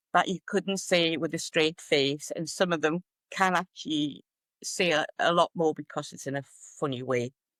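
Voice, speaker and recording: Delivered at a moderate pace in a Geordie accent, the speech has a dry, close sound with no echo on a very clean recording with a silent background. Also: woman. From northern England, Newcastle (Geordie). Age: 70s. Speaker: retired writer and social media humorist. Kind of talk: podcast interview.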